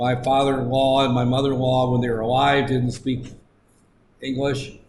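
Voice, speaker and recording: In an American accent, a man talks at a moderate pace and medium pitch with monotone, flat intonation and very even loudness, and audible room echo surrounds him. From United States. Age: 60s. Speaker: lecturer. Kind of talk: lecture. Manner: halting.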